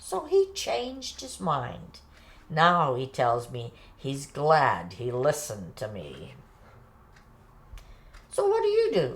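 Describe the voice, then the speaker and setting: Putting on a character voice, a woman speaks very deep and low at a fairly slow pace, with long, frequent pauses. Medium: short film. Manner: kvetching, Yiddish-peppered.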